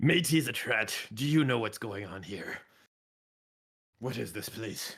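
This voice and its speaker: A man puts on a raspy, mumbling character voice at a medium pitch. His pace is fairly slow. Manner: mumbled under the breath, low and muttered.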